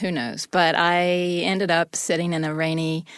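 An unremarkable speaking voice with an American accent moves at a moderate pace on a very clean recording with a silent background. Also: woman. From US South. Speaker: wife of exonerated prisoner. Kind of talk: interview.

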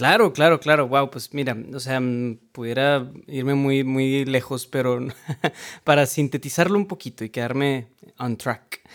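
At a fairly slow pace, a man talks in a medium-pitched voice with fairly even intonation. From Mexico, Monterrey, Nuevo León. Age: 20s. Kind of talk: casual interview chat.

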